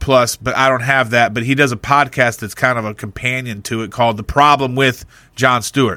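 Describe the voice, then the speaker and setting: In a very clean recording with a silent background, an ordinary speaking voice proceeds at a fairly quick pace. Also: man. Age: 40s. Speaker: podcast co-host. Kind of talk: casual chat.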